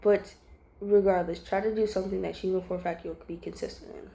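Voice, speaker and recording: A woman talks at a very fast pace. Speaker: religious vlogger. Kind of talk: informal devotional talk. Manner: halting, many fillers.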